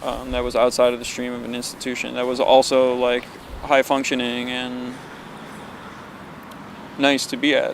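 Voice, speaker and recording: A man speaks at a moderate pace in a monotone, flat intonation, with long, frequent pauses. Noticeable background noise is present. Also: medium pitch for a man. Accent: Western New York. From Buffalo, New York. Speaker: electronic musician and visual artist. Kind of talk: oral history interview answer. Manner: hesitant, reflective.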